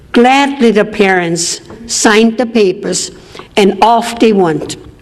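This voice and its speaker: Delivered at a very slow pace with very even loudness and ordinary pitch variation, the speech sits over noticeable background noise. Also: woman, fairly high pitch for a woman. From Austria. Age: 80s+. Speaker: Holocaust-era survivor speaker. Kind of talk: public talk.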